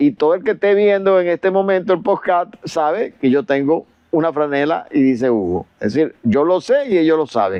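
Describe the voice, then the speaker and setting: A man's high-pitched voice at a moderate pace, with very wide pitch swings, very even loudness and hardly any pauses. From Venezuela. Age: 70s. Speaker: retired chemical engineer and professor, author. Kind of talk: podcast interview. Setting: video podcast.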